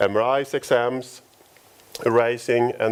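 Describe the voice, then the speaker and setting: A man speaks with a Swedish accent at a fairly slow pace. His pitch is medium. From Sweden, Stockholm. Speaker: company founder. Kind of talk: conference talk. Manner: halting.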